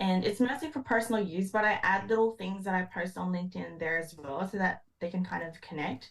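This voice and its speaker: A somewhat breathy voice at a moderate pace. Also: woman. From Philippines. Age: 20s. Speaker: engineer. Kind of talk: podcast interview.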